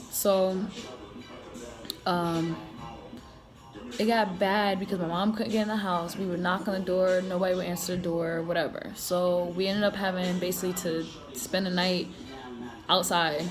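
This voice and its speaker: Against music in the background and audible room echo, a woman with an American accent speaks at a moderate pace and medium pitch in a monotone, flat intonation, taking long, frequent pauses. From Connecticut and South Carolina, US. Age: 20s. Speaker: marine and vlogger. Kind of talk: casual personal vlog storytelling. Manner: casual, filler-heavy.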